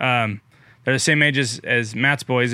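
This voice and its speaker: A bright, sharp tone in an American accent at a moderate pace, in a very clean recording with a silent background. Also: man. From California Central Valley, Merced. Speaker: farmer. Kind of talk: casual chat.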